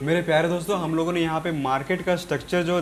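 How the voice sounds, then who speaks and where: The speaker is a man. His pitch is high. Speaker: trading educator. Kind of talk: tutorial. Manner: casual, repetitive explaining.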